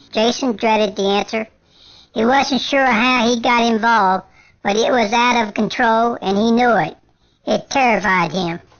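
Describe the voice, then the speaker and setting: In a put-on character voice, a female-sounding speaker talks at a moderate pace with a fairly high pitch for a woman. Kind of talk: scary story narration. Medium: read story.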